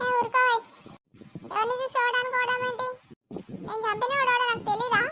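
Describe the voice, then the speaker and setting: A cartoonish character voice with a whiny tone. The intonation stays monotone and flat at a moderate pace. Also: woman, extremely high pitch for a woman. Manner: excitable, fast, whiny.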